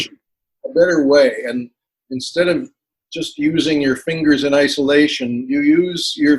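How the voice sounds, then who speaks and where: Using a plain, everyday voice with an American accent, a man speaks at a moderate pace, fairly high in pitch with ordinary pitch variation. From Canadian, living in the United States. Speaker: musician, singer-songwriter, piano learner. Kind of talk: interview answer.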